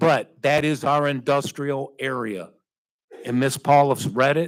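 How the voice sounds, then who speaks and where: A man with an American accent and an ordinary speaking voice talks at a fairly slow pace, fairly high in pitch, with fairly even intonation. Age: 60s. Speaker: city council member. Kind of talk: formal public meeting statement. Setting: council chamber with public.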